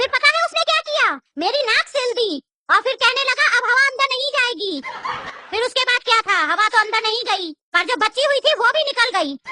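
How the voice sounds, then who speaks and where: A female-sounding cartoonish character voice pitched extremely high for a woman moves at a fairly quick pace. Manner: rude, threatening, taunting.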